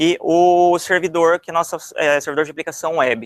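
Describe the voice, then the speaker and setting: At a moderate pace and fairly high pitch, a man speaks in a very clean, dry, close recording with no echo and a silent background. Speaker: software developer, conference speaker. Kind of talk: technical talk. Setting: stage with audience. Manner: hesitant, many fillers.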